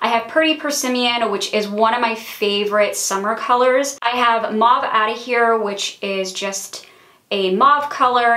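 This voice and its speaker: Noticeable background noise sits under a woman's fairly high voice. She speaks at a moderate pace with ordinary pitch variation. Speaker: beauty vlogger. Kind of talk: casual product review.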